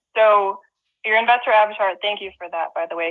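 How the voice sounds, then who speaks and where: With an American accent and a normal speaking voice, a woman talks at a fairly quick pace and keeps her intonation fairly even. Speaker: real estate investor and presenter. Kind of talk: webinar presentation.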